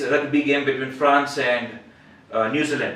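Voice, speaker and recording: A man speaks at a fairly high pitch. Audible room echo and noticeable background noise are present. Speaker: public speaking club member. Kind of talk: prepared speech. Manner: halting with repetitions.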